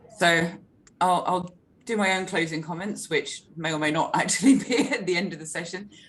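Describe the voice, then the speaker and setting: Her medium-pitched voice somewhat breathy, a woman speaks at a moderate pace with ordinary pitch variation. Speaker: market briefing host. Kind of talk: webinar moderation.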